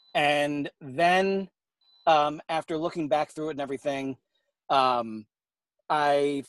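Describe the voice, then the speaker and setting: A man with an American accent speaks in a plain, everyday voice, fairly high in pitch with ordinary pitch variation. The recording is very clean with a silent background, dry and close with no echo. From New York. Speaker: fiction author. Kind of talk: interview.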